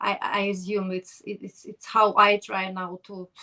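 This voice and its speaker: A woman in a Ukrainian accent, medium-pitched, with a dry, close sound and no echo. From Ukraine, Kherson. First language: Ukrainian or Russian. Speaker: podcast host. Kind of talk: interview. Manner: halting.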